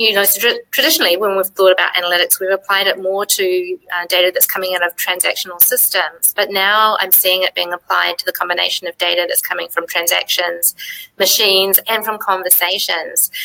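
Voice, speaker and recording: A woman with a slight New Zealand accent speaks at a fairly quick pace with hardly any pauses. The sound is dry and close, without echo. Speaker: software executive. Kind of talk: live web chat.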